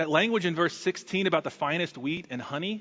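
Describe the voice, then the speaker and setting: A man with an American accent talks at a fairly quick pace in a fairly high pitch, using lively intonation. He has a normal speaking voice. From Texas. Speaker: pastor. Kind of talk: sermon. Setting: church.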